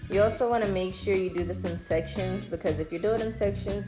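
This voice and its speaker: A woman talks rather quickly while music plays behind her. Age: 20s. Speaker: beauty vlogger. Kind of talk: casual talk to camera.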